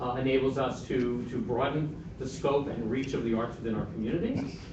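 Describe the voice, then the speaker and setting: A man at medium pitch talks with fairly even intonation over noticeable background noise and audible room echo. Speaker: museum representative presenting to city council. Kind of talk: public presentation at council meeting. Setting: city council meeting. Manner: fast.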